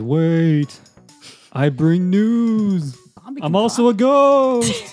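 A man puts on a character voice, pitched high and delivered at a very slow pace. Faint music plays in the background.

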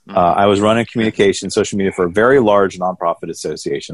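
Against a quiet background, a man with a Southern US accent speaks at a fairly low pitch, the sound dry and close with no echo. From Atlanta, Georgia. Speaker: ACB director of development. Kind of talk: casual interview chat.

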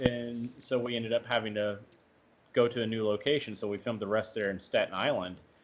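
Fairly quick and fairly even in intonation, a man speaks at medium pitch in an unremarkable speaking voice. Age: 30s. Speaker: actor. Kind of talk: casual chat.

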